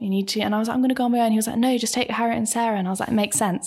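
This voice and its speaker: Noticeable background noise behind a woman's fairly high voice, with fairly even intonation. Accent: southern English. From Bracknell, southern England. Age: 20s. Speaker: actress. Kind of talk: casual chat. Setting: studio.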